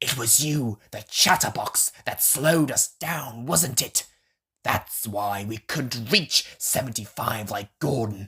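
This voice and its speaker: A man puts on a growling character voice with a medium pitch. He goes at a fairly slow pace. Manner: snooty.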